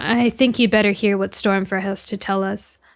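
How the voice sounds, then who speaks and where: A woman puts on a raspy character voice at a medium pitch. She speaks at a moderate pace. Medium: virtual streamer. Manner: calm.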